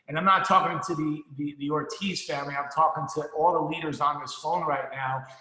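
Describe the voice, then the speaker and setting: A man talking with hardly any pauses, amid noticeable background noise and audible room echo. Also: fairly high pitch for a man, fairly quick pace. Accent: American. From New Jersey. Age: 50s. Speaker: financial services business leader, motivational speaker. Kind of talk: motivational talk. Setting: conference call. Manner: energetic, animated.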